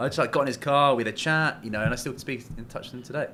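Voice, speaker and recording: With an English accent, a man talks at a very fast pace in a bright, sharp tone with fairly even intonation. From England. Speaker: commercial real estate broker. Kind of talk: casual chat.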